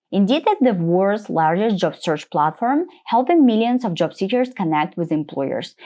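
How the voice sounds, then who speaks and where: A woman with very wide pitch swings at a moderate pace, with hardly any pauses. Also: medium pitch for a woman. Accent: non-native. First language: not English. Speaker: UX designer and interview coach. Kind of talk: tutorial walking through a portfolio presentation. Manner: slightly halting with small slips.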